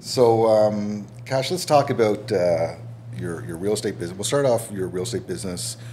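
A man speaks with a Canadian accent and a fairly low pitch. Noticeable background noise can be heard. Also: ordinary pitch variation, moderate pace. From Canada, East Coast. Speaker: podcast host. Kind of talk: casual interview.

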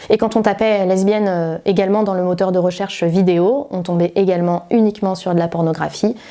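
A woman with a normal speaking voice talks at a fairly quick pace with hardly any pauses. Her pitch is medium and her intonation fairly even. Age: 30s. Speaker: activist. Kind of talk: interview testimony.

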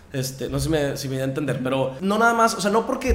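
Speech at a very fast pace comes through audible room echo and noticeable background noise. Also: man. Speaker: fitness instructor. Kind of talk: casual chat.

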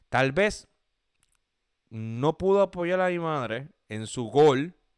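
On a very clean recording with a silent background, a man speaks at a medium pitch with very wide pitch swings. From Puerto Rico (Gurabo). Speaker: podcast host. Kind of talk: casual monologue. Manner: halting, many fillers.

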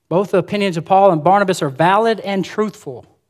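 A man with an Alabama accent is heard on a very clean recording with a silent background. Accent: Southern US (Alabama). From US South, rural Alabama. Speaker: preacher. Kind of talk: sermon. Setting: church with congregation. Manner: fast.

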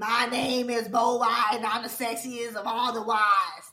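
A raspy, put-on character voice sits at a fairly high pitch. It moves at a moderate pace in a flat monotone. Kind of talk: rough, working-class.

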